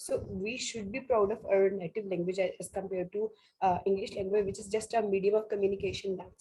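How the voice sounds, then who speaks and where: A woman with a Pakistani accent speaks at a fairly quick pace and a medium pitch, her intonation monotone and flat. Her tone is dark, mellow and somewhat breathy, with big swings in loudness. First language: Urdu. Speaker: teacher. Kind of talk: video call discussion.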